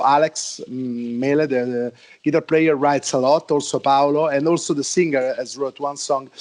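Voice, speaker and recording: A man is speaking here. He talks with an Italian accent. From Italy, Rome. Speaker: heavy metal musician. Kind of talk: interview. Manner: halting, many repeated words.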